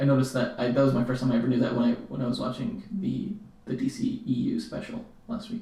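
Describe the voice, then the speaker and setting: Very fast, mumbled speech from a man with an American accent, over noticeable background noise. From Colorado, US. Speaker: podcast co-host. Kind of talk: casual chat. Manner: mumbling.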